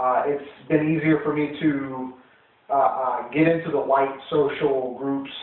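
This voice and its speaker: A man's fairly high, monotone, flat voice at a fairly slow pace, with noticeable background noise and audible room echo. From US, military family, moved around. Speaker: interviewee. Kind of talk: interview. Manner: halting, many fillers.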